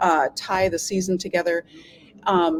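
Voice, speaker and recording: A woman with a medium pitch speaks in an Upper Midwest accent. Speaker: symphony orchestra staff, arts administrator. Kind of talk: casual interview chat. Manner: animated.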